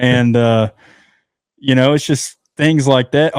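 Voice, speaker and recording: Speaking at a very slow pace with fairly even intonation, a man is heard in a dry, close sound with no echo. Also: medium pitch for a man. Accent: slight Southern US. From moved from the northern US to the South. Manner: casual, chatty, many fillers.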